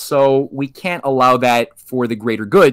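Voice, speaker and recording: A man is speaking at medium pitch. The background is quiet. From Canada. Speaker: history researcher guest. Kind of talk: interview, historical explanation. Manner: halting with many repeated words. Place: home room.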